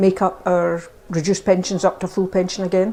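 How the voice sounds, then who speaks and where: With a Scottish accent, a woman is speaking. Her pace is fairly quick. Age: 70s. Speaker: older person sharing views. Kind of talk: testimony.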